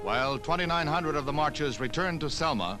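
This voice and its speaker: Against music in the background, a man speaks in a serious tone at a fairly quick pace. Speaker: newsreel narrator. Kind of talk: newsreel narration. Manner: serious, measured.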